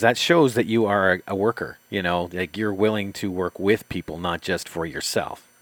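In a very clean recording with a silent background and a dry, close sound with no echo, a man with an unremarkable speaking voice talks at a fairly quick pace with ordinary pitch variation and hardly any pauses. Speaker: co-host and interviewer. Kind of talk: casual interview chat, questioning.

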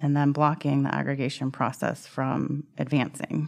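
A woman's very deep, low voice with an American accent, at a moderate pace over a quiet background. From California, US. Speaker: neuroscientist and product manager. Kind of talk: interview testimony.

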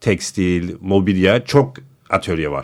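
A very clean recording with a silent background captures a man's speech. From United States. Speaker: designer and architecture writer. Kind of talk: casual chat. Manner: halting.

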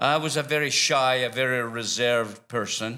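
With a Scottish accent, a man talks at a moderate pace in a bright, sharp tone and fairly even intonation. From Scotland. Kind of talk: church interview. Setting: church with congregation.

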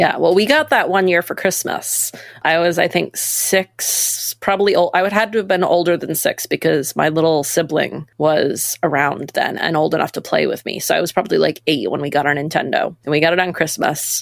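A woman with an American accent talks at a fairly quick pace. She leaves hardly any pauses. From Maine, US. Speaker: nonprofit staff member and co-founder. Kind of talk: casual interview.

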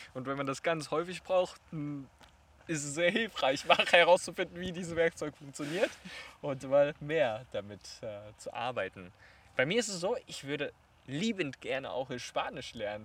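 Speaking at a moderate pace, a man uses lively intonation and big swings in loudness, with long, frequent pauses. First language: Chinese (speaking German). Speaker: podcast host. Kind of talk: casual interview. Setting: outdoors in a park.

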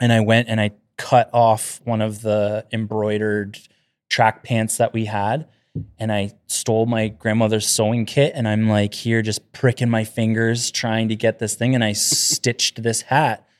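A man with a medium pitch speaks in a monotone, flat way, recorded very cleanly with a silent background and a dry, close sound with no echo. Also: fairly slow pace. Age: 30s. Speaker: carpenter. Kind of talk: casual chat.

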